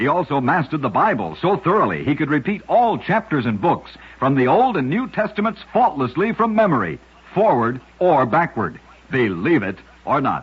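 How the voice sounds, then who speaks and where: Over noticeable background noise, a man speaks at a moderate pace. His fairly high pitch moves in very wide swings. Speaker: radio narrator. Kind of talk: old-time radio one-minute story narration.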